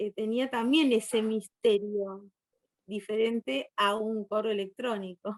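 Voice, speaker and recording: Fairly slow and with ordinary pitch variation, a woman speaks in an unremarkable speaking voice at a fairly high pitch, the sound dry and close with no echo. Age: 60s. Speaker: guest lecturer on poetry. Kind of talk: virtual conference Q&A.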